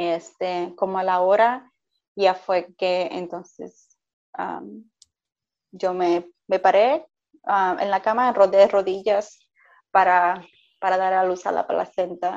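A woman with a medium-pitched voice talks very slowly, leaving long, frequent pauses, her intonation fairly even. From Puerto Rico. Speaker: mother sharing birth stories. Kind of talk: interview, personal testimony.

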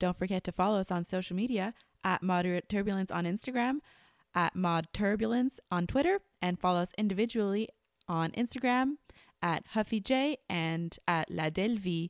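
Her medium-pitched voice, in a Quebec accent with ordinary pitch variation, comes through dry and close with no echo. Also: very clean recording, silent background. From Quebec, Montreal. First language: French. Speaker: podcast co-host, flight attendant. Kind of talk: casual chat; scripted outro.

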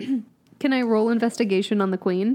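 A woman's fairly high voice with a dark, mellow tone, ordinary pitch variation and a moderate pace

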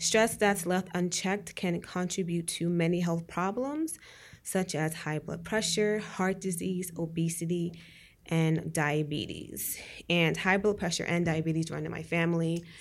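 In a very clean recording with a silent background, a woman talks at a fairly slow pace and a fairly low pitch. She has a plain, everyday voice with fairly even intonation. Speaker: podcast co-host. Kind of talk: casual chat.

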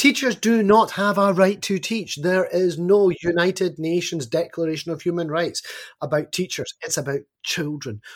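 A man's high-pitched voice in an animated tone. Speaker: education advocate with doctorate, teaches students. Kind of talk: podcast interview. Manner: animated, opinionated.

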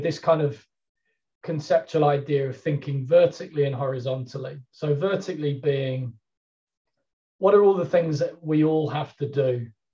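A man talks at a moderate pace in a dark, mellow, somewhat breathy tone. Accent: English. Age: 50s. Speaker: sports performance strategist. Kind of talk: interview.

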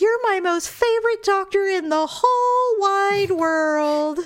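A woman uses a put-on character voice at an extremely high pitch. She speaks at a fairly slow pace. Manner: slurred, drugged.

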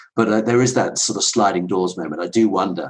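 A man with a southern English accent talks at a fairly quick pace in a fairly low pitch. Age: 50s. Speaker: ultra runner and entrepreneur. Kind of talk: casual interview chat.

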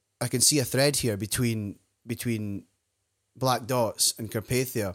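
A man with a Scottish accent at a medium pitch, fairly slow and fairly even in intonation, on a very clean recording with a silent background. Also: long, frequent pauses. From Scotland. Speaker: podcast host. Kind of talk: interview.

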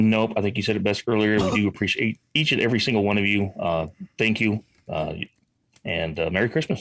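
An unremarkable speaking voice from a man, fairly low in pitch, with ordinary pitch variation. He moves at a fairly quick pace and keeps his loudness very even. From Illinois. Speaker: veteran, show co-host. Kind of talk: casual chat.

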